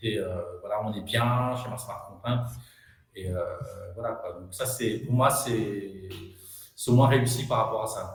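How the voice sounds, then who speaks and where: The voice is somewhat breathy, with audible room echo. It moves at a very slow pace with ordinary pitch variation. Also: man. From Madagascar. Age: young. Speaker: entrepreneur. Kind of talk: interview. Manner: hesitant, many fillers.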